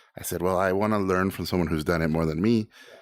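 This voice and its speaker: A man's very fast, animated delivery in a Spanish accent, with lively intonation. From Mexico, Tijuana. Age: 40s. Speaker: animator and director. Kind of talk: casual interview.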